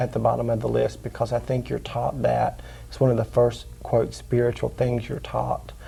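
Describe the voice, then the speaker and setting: A man with a Southern accent at a moderate pace. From US South, North Carolina. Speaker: psychic healer and teacher. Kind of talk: interview.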